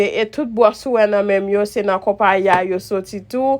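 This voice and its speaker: A strong Haitian accent with fairly even intonation. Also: woman. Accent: strong Haitian Creole accent in English. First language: Haitian Creole. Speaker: makeup vlogger. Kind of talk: makeup tutorial. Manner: halting, code-switching Creole and English.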